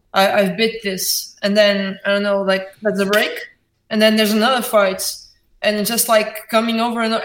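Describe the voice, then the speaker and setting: In a Portuguese accent, a woman speaks with a fairly high pitch and monotone, flat intonation, and audible room echo can be heard. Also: moderate pace. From Portugal, Porto. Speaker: indie band musician. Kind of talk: interview. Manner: halting.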